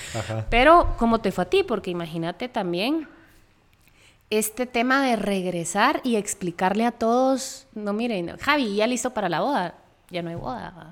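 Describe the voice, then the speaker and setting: An unremarkable speaking voice with lively intonation moves along at a moderate pace. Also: woman, fairly high pitch for a woman. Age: 30s. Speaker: podcast co-host, architect. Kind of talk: casual chat.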